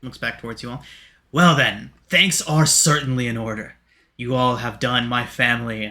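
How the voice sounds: Reading in a natural reading voice, the speaker shows ordinary pitch variation.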